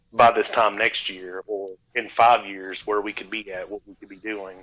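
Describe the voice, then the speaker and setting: A man speaks at a fairly slow pace in a bright, sharp tone. The recording is very clean, with a silent background. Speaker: podcast co-host. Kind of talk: casual chat.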